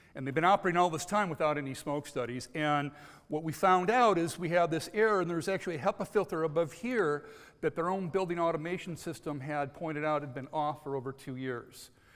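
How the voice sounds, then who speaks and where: A man's fairly high voice, very fast, with an American accent. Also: ordinary pitch variation. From United States. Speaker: contamination control consultant. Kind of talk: conference presentation. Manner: frequent filler words and hesitations.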